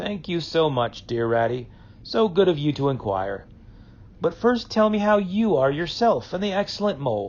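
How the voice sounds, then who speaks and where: Doing a put-on character voice, a man speaks at a moderate pace in a high pitch that swings very widely. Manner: politely dramatic, pretending illness.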